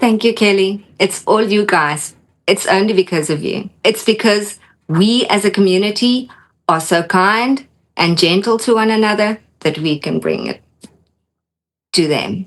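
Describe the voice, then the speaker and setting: A woman's medium-pitched voice with a South African accent, ordinary pitch variation and a fairly slow pace. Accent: Afrikaans-accented English. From Namibia. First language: Afrikaans. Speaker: doll collector. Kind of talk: casual interview chat. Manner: soft-spoken.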